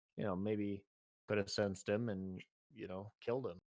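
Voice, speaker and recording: A man with a plain, everyday voice and a fairly low pitch speaks at a moderate pace with fairly even intonation. The sound is dry and close, with no echo. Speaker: podcast host. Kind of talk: casual chat.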